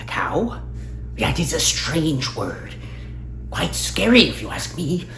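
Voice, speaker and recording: Someone uses a put-on character voice at a fairly slow pace while music plays clearly in the background. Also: man. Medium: read story. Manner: nervous, archaic phrasing.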